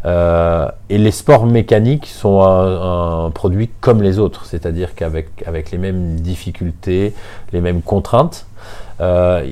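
With noticeable background noise behind him, a man with a very deep, low pitch speaks at a fairly slow pace with ordinary pitch variation. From southern France, Nice. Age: 50s. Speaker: motor racing circuit director. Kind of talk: interview. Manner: hesitant, frequent fillers.

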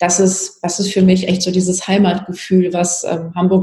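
A woman's medium-pitched voice in a monotone, flat delivery. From Palatinate, Germany. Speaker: politician. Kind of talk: interview.

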